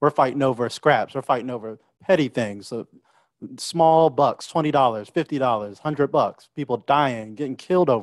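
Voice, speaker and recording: Fairly slow delivery from a man of medium pitch, ordinary pitch variation, big swings in loudness, and a quiet background. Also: dry sound with no echo. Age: young. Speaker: talk show co-host. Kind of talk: panel discussion. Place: home room. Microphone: studio mic.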